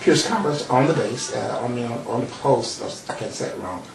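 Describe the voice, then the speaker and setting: Noticeable background noise and audible room echo surround a man's voice. He talks at a fairly slow pace in a medium pitch. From Mississippi and Chicago. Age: old. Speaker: psychologist and retired pastor. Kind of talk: talk show interview. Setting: TV studio. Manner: halting, many fillers.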